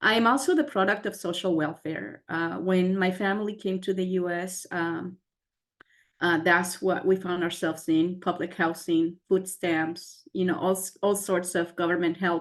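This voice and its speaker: Against a quiet background, a woman speaks at a moderate pace with a Spanish accent. Her medium pitch holds fairly even intonation. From Mexico, then US. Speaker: scientist / STEM professional. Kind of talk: panel webinar talk. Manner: repeats words, some fillers.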